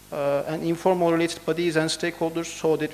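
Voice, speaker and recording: A man with a Turkish accent talks at a very fast pace in monotone, flat intonation. Noticeable background noise is present. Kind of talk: conference presentation. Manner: halting; formal.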